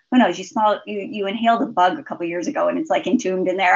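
With an American accent, a woman talks at a very fast pace using lively intonation. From US, southeast Idaho. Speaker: physician. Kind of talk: interview.

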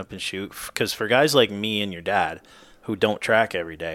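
An American accent from a man with an unremarkable speaking voice, fairly low pitch and fairly quick pace. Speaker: podcast co-host. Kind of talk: casual chat. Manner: joking, easygoing.

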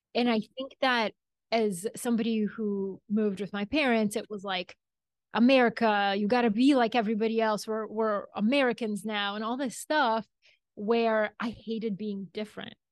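Against a quiet background, a woman with a Bulgarian accent speaks at a moderate pace and fairly high pitch with fairly even intonation, the sound dry and close with no echo. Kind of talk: interview conversation.

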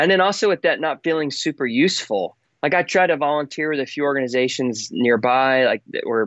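A man with an American accent and a normal speaking voice, medium pitch, ordinary pitch variation and a fairly quick pace. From Texas. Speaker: songwriter and storyteller for a child-sponsorship charity. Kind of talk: casual chat.

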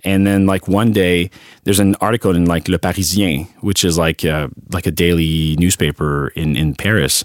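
A man with a Quebec French accent, very deep and low in pitch, with fairly even intonation at a moderate pace, in a dry, close sound with no echo. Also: very clean recording, silent background. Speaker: advertising creative director. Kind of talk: casual interview. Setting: studio.

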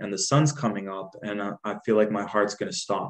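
A man with a normal speaking voice talks at a fairly slow pace with ordinary pitch variation. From Jordan, raised in Dubai, then Canada. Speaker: guest, healer, poet and musician. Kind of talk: casual interview chat.

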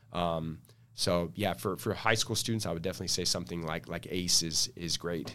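A man with an American accent, very deep and low in pitch, bright and sharp in tone, at a fairly quick pace with ordinary pitch variation, on a very clean recording with a silent background. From San Diego, California. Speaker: civil engineer and engineering firm owner. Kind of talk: podcast interview.

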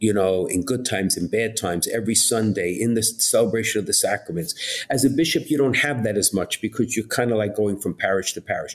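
Speaking fairly quickly, a man in a New York accent keeps a medium pitch with ordinary pitch variation. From Brooklyn, New York. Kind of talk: interview chat.

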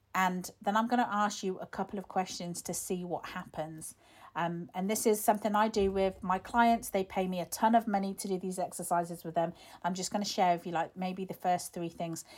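Here is a woman with an unremarkable speaking voice, medium pitch and fairly even intonation, talking at a fairly quick pace. The recording is very clean, with a silent background. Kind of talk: guided visualisation, calm instructional prompts to close your eyes and imagine. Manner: warm, gentle, coaxing, conversational and encouraging.

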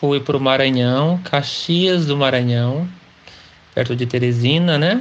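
Speaking at a fairly slow pace in a normal speaking voice, a man with fairly high pitch keeps his loudness very even while his pitch varies in an ordinary way. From interior of São Paulo state, Pindamonhangaba. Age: 40s. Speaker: interviewee telling his life story. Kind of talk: life-story interview.

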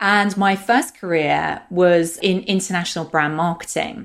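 A woman speaks with a British accent. Her pitch is fairly low and her pace fairly slow. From London, UK. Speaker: cultural intelligence coach and founder. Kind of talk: interview conversation.

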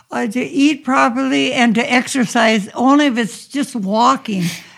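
Speaking with an American accent, a woman has a fairly high pitch, a somewhat breathy quality, lively intonation and a moderate pace. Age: 80s+. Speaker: podcast host's mother. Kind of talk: interview. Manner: halting.

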